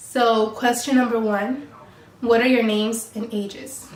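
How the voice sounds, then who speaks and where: Someone with a Californian accent talks at a fairly slow pace, with audible room echo and noticeable background noise. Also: woman. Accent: Californian American English. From Mexico then Colorado and San Diego, California. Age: 20s. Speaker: YouTuber. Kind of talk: casual chat.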